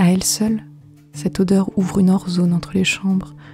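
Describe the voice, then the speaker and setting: Over music in the background, the speaker keeps a moderate pace and fairly even intonation. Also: woman. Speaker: poet. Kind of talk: poetry reading. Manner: soft-spoken.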